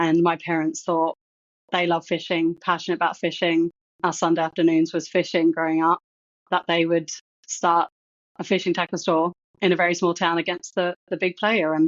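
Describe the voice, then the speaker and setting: With very even loudness, a woman speaks at a moderate pace and fairly low pitch in a monotone, flat intonation. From Australia, Toowoomba, Queensland. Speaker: project management executive. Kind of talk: interview. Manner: conversational, with fillers.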